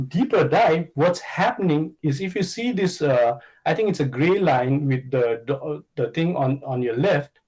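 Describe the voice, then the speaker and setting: A man speaks at a fairly high pitch with lively intonation. His voice is somewhat breathy, at a moderate pace. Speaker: conference speaker on economics. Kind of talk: conference presentation. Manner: hesitant, many fillers.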